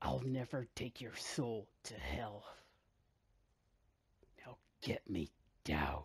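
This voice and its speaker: A man's put-on character voice, fairly low in pitch, at a very slow pace with long, frequent pauses. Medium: machinima.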